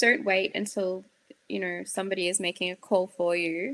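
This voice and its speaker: Here a woman speaks with an Australian accent. She leaves long, frequent pauses. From far north Queensland, Australia. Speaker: psychiatry registrar, peer support founder. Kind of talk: interview conversation.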